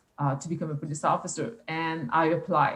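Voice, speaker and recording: A woman speaks with a French accent in a fairly low pitch. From rural Quebec. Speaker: police youth engagement officer. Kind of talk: interview. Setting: live internet broadcast. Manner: halting.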